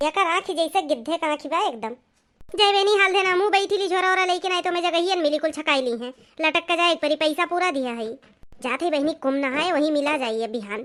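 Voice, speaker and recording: A cartoonish character voice at a fairly quick pace. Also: female-sounding voice, extremely high pitch for a woman. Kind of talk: comic rustic dialect chatter. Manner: chatty, quarrelsome.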